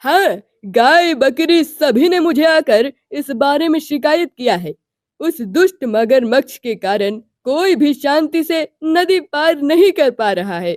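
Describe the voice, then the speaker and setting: A high-pitched, cartoonish character voice at a fairly slow pace. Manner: calm, responsible.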